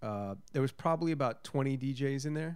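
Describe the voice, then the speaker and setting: Speaking at a moderate pace, a man has an unremarkable speaking voice at a medium pitch. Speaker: podcast co-host. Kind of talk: casual chat.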